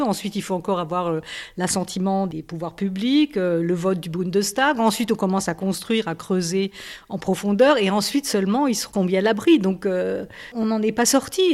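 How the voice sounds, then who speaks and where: This woman has a normal speaking voice at a medium pitch. She speaks at a moderate pace with ordinary pitch variation. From Alsace, France. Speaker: journalist. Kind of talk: radio interview.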